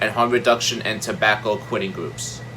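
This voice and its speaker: A man with a medium pitch over music in the background. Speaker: health video creator. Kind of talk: informational explainer. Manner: loud.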